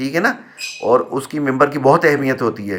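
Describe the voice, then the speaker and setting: With a fairly high pitch, a man's voice shows ordinary pitch variation. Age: 60s. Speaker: retired community member, vlogger. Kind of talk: personal vlog monologue. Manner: hesitant with filler sounds.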